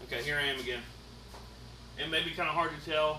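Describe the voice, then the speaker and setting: Recorded with audible room echo and noticeable background noise, a man speaks at a fairly quick pace. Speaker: paranormal investigator. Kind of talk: tutorial. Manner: casual.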